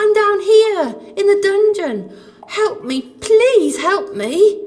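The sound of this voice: Putting on a character voice, a woman speaks slowly at an extremely high pitch with lively intonation and a slightly mellow tone.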